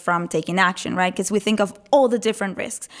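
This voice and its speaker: A woman speaks with a non-native accent. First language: not English. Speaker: motivational speaker. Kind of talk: casual interview. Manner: animated.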